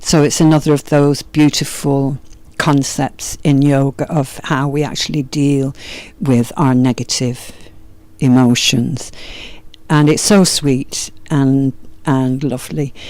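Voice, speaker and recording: A woman's very deep, low voice, gentle tone and dark, mellow tone, with fairly even intonation at a very slow pace. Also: very even loudness. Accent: Yorkshire. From Yorkshire, northern England. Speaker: yoga and meditation teacher. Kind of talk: spoken introduction to meditation practices. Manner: gentle, hesitant with fillers.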